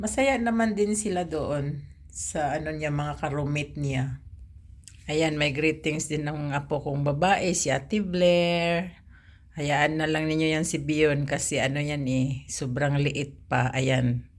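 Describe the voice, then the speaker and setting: Audible room echo surrounds a woman speaking at a very slow pace with a very deep, low pitch and ordinary pitch variation. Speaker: private driver, vlogger. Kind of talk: personal vlog. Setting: alone in her room.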